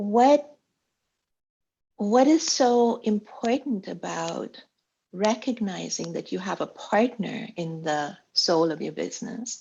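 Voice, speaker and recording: Her voice is fairly high and somewhat breathy, with lively intonation. This woman talks at a very slow pace with big swings in loudness. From India, Bombay. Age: 70s. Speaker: business mentor. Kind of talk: interview.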